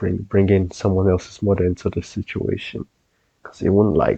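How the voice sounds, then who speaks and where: A quiet man's voice, very deep and low, with a dark, mellow tone, somewhat breathy and monotone, recorded dry and close with no echo. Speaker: co-commentator reacting to video. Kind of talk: casual reaction chat. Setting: at home late at night. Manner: quiet, keeping voice low.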